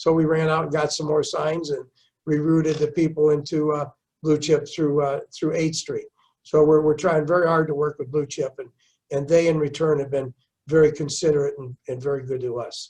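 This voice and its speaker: Somewhat breathy and fairly high in pitch, a man speaks at a moderate pace in a monotone, flat intonation. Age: 70s. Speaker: mayor. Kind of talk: interview. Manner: halting, repeats words.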